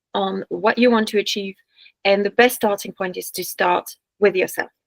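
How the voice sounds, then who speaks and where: A woman at medium pitch in a French accent, moderate pace and ordinary pitch variation, with a dry, close sound and no echo. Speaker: business coach. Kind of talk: online workshop presentation. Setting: video call. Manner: hesitant with fillers and restarts.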